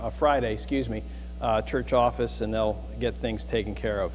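The voice belongs to a man. Behind him, music can be heard. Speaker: pastor giving announcements. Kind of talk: church announcements. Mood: relaxed, joking. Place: church. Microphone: lapel.

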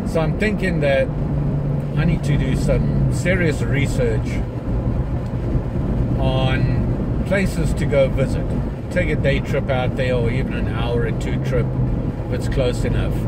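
A man at a fairly slow pace with long, frequent pauses, over loud background noise. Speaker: vlogger driving. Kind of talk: casual vlog chat. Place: car. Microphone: phone near.

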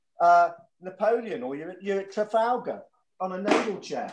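Light background noise and audible room echo fill the recording. Through them, this man talks at a moderate pace. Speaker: guest. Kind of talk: interview answer. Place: home room. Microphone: video call.

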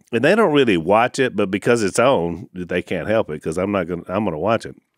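A man speaks with vocal fry over a quiet background. The sound is dry, with no echo. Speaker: podcast co-host. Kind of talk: casual podcast conversation. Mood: amused, joking. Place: studio. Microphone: studio mic.

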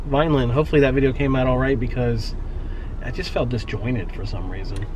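Very fast-talking man, dry sound with no echo, light background noise. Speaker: vlogger. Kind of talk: casual vlog chat. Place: car. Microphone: phone near.

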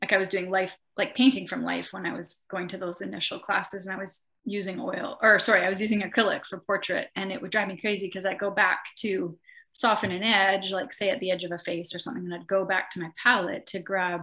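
Over a quiet background, a woman talks at a very fast pace with ordinary pitch variation. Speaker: interviewee. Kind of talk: interview answer. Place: home room. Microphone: video call.

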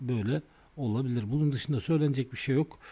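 A man talks at medium pitch in a dark, mellow tone. His voice is somewhat breathy. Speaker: stock market technical analyst. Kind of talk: tutorial. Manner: halting.

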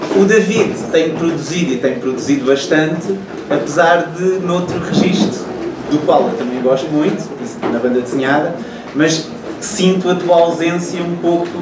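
A man at a moderate pace with long, frequent pauses and ordinary pitch variation, over noticeable background noise. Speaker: moderator of literary talk. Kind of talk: interview question. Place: shop. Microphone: camera far.

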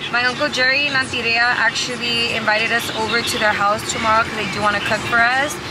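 Loud background noise surrounds the speaker. A woman talks at a fairly quick pace. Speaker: family vlogger. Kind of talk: casual vlog chat. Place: car. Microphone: phone near.

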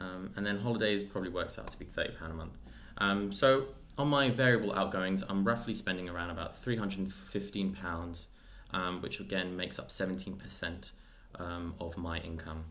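Speaking at a fairly slow pace, a man has a very deep, low pitch. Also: ordinary pitch variation. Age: 20s. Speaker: personal finance youtuber. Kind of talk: tutorial. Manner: hesitant with frequent fillers. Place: home room. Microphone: webcam.

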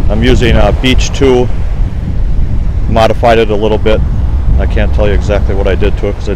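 Noticeable background noise sits under a very fast delivery, the sound dry with no echo. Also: man, very even loudness. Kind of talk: casual vlog chat. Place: beach. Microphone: phone near.

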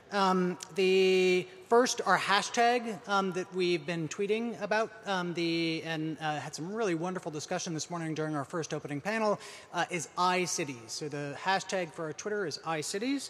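A man's high-pitched voice at a moderate pace, with ordinary pitch variation and hardly any pauses. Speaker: event host. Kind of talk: event announcements and introduction. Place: hall. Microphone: podium.

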